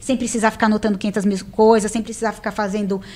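A woman speaks with a fairly high pitch. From Brazil. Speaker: tax auditor, interviewee about passing civil service exams; interviewee. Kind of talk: casual interview. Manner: animated. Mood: relaxed, animated. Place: studio. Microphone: studio mic.

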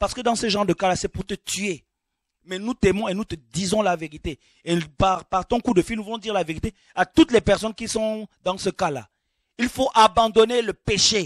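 In a quiet background, a man with a high pitch speaks at a moderate pace with ordinary pitch variation. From Gabon. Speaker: preacher. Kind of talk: sermon. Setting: studio. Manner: animated.

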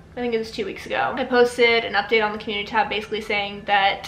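A woman's very fast, monotone speech with flat intonation, audible room echo and light background noise. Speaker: vlogger. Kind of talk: casual vlog chat. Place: home room. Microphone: camera far.

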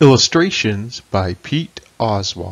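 A man with a medium pitch sounds somewhat breathy. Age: old. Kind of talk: children's picture book read-aloud.

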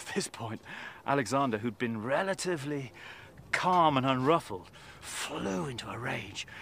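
A man speaks with lively intonation in a dry sound with no echo. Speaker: presenter. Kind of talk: storytelling to camera. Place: open country.

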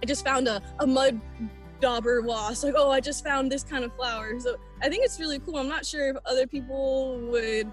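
With faint music in the background, a woman speaks at a high pitch and a moderate pace, her intonation fairly even and the sound dry with no echo. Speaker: guest. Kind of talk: interview answer. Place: forest. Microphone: video call.

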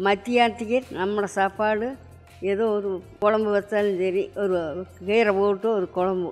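Faint music plays in the background under fairly even intonation. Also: woman. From Coimbatore, Tamil Nadu, India. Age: 80s+. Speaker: yoga teacher. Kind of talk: interview answer. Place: home room. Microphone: handheld.

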